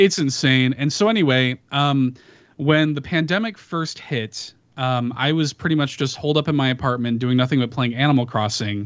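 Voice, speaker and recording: In an American accent, a man speaks with a fairly high pitch, a normal speaking voice, and ordinary pitch variation. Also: moderate pace. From Chicago, US. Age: 30s. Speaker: podcaster. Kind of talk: casual chat. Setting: video call.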